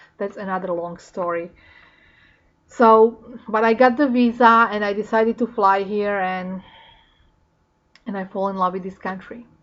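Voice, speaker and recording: With a Slovak accent, a woman speaks with long, frequent pauses and big swings in loudness. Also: medium pitch for a woman, moderate pace. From Slovakia. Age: 40s. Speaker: vlogger. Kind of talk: casual talk to camera. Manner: animated.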